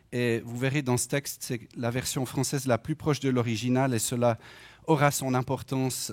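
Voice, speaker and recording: A man with a Swiss accent at medium pitch, with monotone, flat intonation and a moderate pace. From French-speaking Switzerland. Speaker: lay preacher and economist. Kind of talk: sermon. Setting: church.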